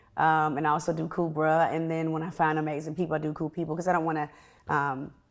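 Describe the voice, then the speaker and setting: A woman's very deep, low voice at a very fast pace with monotone, flat intonation, on a very clean recording with a silent background. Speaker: media personality and actress; podcast host. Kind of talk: interview.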